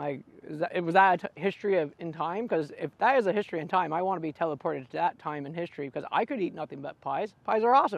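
A man with a high voice talks very fast, the sound dry with no echo. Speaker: food vlogger. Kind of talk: casual food review vlog chat. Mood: cheerful, playful. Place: open country. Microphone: lapel.

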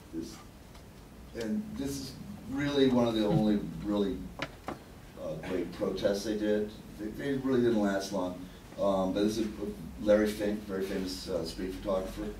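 A man with a New York accent speaks at a moderate pace and a fairly low pitch, with ordinary pitch variation and long, frequent pauses, amid light background noise and audible room echo. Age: middle-aged. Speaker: writer and curator. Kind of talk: lecture. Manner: casual. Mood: relaxed, self-deprecating. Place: meeting room.

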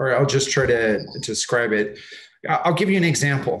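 A man speaks with an American accent. His medium-pitched voice is somewhat breathy. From Southern California (Los Angeles, Orange County). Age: 40s. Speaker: architect and professor. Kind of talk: slide presentation. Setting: video call.

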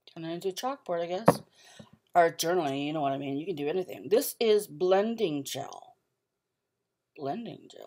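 In a dark, mellow tone, a woman talks at a moderate pace with a fairly low pitch, lively intonation, big swings in loudness and long, frequent pauses against a quiet background. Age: 40s. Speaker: art and craft vlogger; craft vlogger. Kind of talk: casual haul vlog. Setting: at home. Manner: halting, many fillers. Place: home room. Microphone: webcam.

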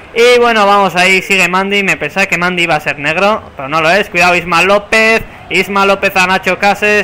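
In a raised, projected voice, a man speaks at a high pitch with an animated tone and a moderate pace. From San Sebastián, Basque Country, Spain. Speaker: gaming YouTuber. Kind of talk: casual gameplay commentary. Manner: animated, play-by-play commentary.

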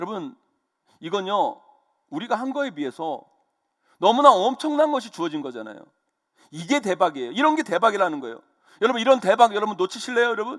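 A man talks at a very fast pace in a high voice, with very wide pitch swings and big swings in loudness. Long pauses break up his speech often. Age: 50s. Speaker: pastor. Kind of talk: sermon. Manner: animated.

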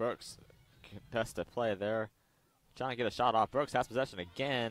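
Moderate tempo from a man, the sound dry and close with no echo. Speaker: soccer commentator. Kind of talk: live sports commentary.

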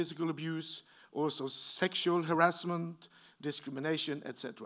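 A man's fairly high-pitched voice with a Norwegian accent, against a quiet background. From Norway. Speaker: professor. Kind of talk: lecture. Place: hall.

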